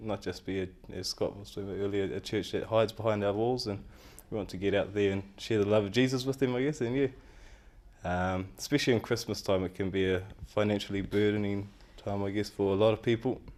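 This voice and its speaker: Over a very clean recording with a silent background, a man speaks in a New Zealand accent. He talks at a very fast pace and a fairly low pitch. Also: fairly even intonation. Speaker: community event organiser. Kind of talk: tv interview. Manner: halting, many fillers.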